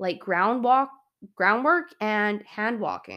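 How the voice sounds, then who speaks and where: A woman speaks at a very slow pace with a fairly high pitch. The recording is very clean, with a silent background. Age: 30s. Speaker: podcast host and horse trainer. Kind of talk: solo podcast talk. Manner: casual, conversational.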